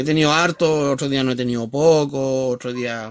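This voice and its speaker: Someone speaks at a moderate pace against a quiet background. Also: man. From Chile. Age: 50s. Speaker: livestreamer. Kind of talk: casual chat. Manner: halting. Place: home room. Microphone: phone near.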